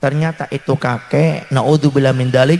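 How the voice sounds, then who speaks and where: A man speaks at a moderate pace with a fairly high pitch. Noticeable background noise runs underneath. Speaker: Islamic preacher. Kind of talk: sermon. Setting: religious gathering with audience. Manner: animated.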